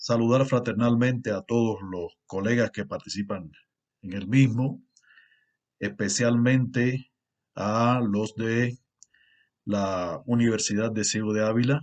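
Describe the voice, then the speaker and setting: The pace is very slow, with long, frequent pauses. A man talks in a medium pitch with ordinary pitch variation. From Cuba. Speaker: university lecturer and researcher. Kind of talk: conference lecture. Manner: formal, with frequent fillers.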